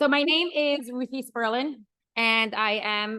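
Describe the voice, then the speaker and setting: Loud, passionate woman's voice in an American accent, high-pitched with a bright, sharp tone and ordinary pitch variation. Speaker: women's educator and speaker. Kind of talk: lecture. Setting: stage with live audience.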